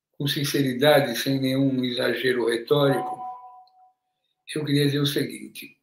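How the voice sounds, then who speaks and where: Audible room echo surrounds a man whose fairly high pitch carries at a fairly slow pace. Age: 70s. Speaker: political activist. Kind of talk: panel discussion.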